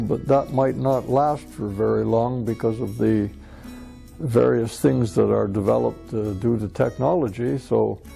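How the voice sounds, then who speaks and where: Music in the background behind a man at a fairly slow pace. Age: 60s. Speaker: retired mining engineer. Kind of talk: interview answer. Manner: hesitant, halting.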